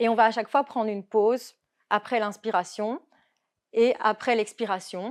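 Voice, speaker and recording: On a very clean recording with a silent background and a dry, close sound with no echo, a woman speaks at a fairly high pitch and moderate pace with fairly even intonation. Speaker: yoga instructor. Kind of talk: talk.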